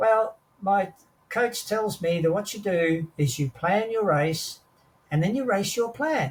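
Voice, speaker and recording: Speaking with an Australian accent, a man goes at a moderate pace with ordinary pitch variation. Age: 80s+. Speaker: war veteran. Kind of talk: interview answer.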